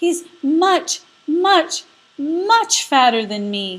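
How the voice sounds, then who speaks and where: In a squeaky put-on character voice, a woman speaks with extremely high pitch and very wide pitch swings. She goes very slowly on a very clean recording with a silent background. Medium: read story.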